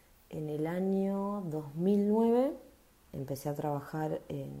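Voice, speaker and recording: A woman speaks with a dark, mellow tone and ordinary pitch variation. Audible room echo surrounds her voice. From Argentina, Bragado (Buenos Aires province). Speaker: bank employee and union member. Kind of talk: personal testimony.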